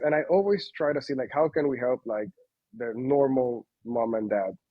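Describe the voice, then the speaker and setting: A man with a Spanish accent, medium in pitch, with ordinary pitch variation. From Panama. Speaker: company founder. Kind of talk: interview. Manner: halting, many fillers.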